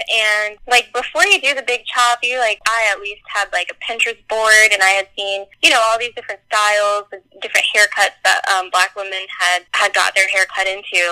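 With an American accent, a woman speaks at a moderate pace and fairly high pitch, her tone bright and sharp, her intonation fairly even, hardly any pauses, in a dry, close sound with no echo. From US South, North Carolina. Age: 20s. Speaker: podcast guest. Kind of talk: casual chat.

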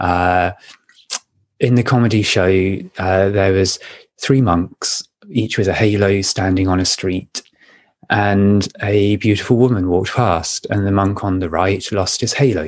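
A man with an ordinary speaking voice, fairly low pitch, fairly even intonation and a fairly slow pace. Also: quiet background. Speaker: podcast co-host. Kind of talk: casual chat. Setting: video call.

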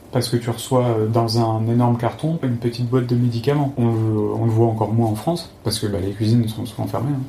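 A man talks at a fairly quick pace with a medium pitch and fairly even intonation. Noticeable background noise runs underneath. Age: 30s. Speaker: former pharmacist, traveler. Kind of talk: interview. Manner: halting, repeats words.

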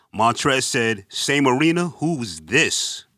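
Very slowly, a man with a New York accent speaks in a bright, sharp tone. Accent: New York (Bronx). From New York, the Bronx. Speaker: basketball podcast co-host. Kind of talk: casual chat.

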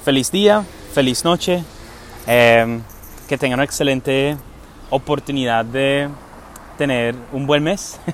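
Amid noticeable background noise, a man with a fairly high pitch and ordinary pitch variation speaks at a very slow pace with long, frequent pauses. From England. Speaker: podcast host and entrepreneur. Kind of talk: casual monologue. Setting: outdoors. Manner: hesitant, with many fillers.

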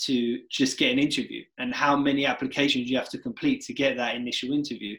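A man's fairly high voice, an unremarkable speaking voice, with lively intonation and a moderate pace. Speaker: podcast host. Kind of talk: casual podcast chat.

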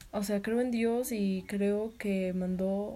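This woman has a medium-pitched voice with a dark, mellow tone. Her intonation stays fairly even and she sounds somewhat breathy. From Mexico, Tlaxcala. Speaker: nursing student vlogger. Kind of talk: personal vlog monologue.

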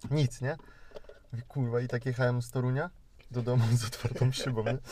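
Speaking at a very fast pace, a man uses a medium-pitched, dark, mellow voice that is somewhat breathy. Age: 20s. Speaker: podcast host. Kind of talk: casual chat. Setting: in a car.

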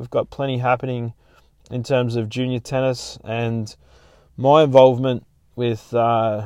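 Speaking at a fairly slow pace, a man of medium pitch talks with an Australian accent. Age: 40s. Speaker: podcast host. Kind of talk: casual chat.

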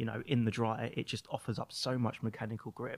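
An unremarkable speaking voice from a man, medium in pitch. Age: 30s. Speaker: magazine owner. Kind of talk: casual chat. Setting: studio.

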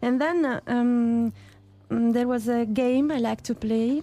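A woman with an Italian accent, a fairly high pitch, a dark, mellow tone and a very slow pace. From Italy, Puglia. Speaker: archaeologist. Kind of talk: interview.

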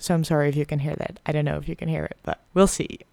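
A woman with a very deep, low pitch and a Dutch accent. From Netherlands. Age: 20s. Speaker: podcaster, medical student. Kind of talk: casual monologue.

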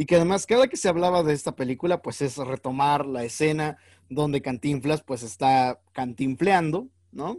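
The speaker has a Mexican accent and talks at a moderate pace. The sound is dry and close, with no echo. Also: man. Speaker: actor, clown and teacher co-hosting film podcast. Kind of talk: casual chat.

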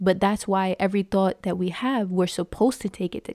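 With an animated, excited tone, a woman speaks at a medium pitch in a dry, close sound with no echo. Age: 20s. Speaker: faith podcast host. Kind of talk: solo devotional podcast talk, testimony blending into informal preaching. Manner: animated and excited, lots of ums and repeated words; earnest, exhorting preacher-like cadence.

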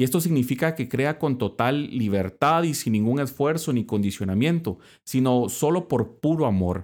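A man speaks in an ordinary speaking voice at a medium pitch and moderate pace, with lively intonation and hardly any pauses. His loudness stays very even, and the recording is very clean with a silent background. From Guatemala. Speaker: Dominican friar and podcast host. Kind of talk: religious reflection podcast.

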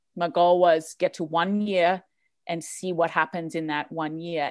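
Fairly even intonation over a very clean recording with a silent background. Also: woman. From northern Australia (tropical). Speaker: life coach and musician. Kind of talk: casual podcast interview.

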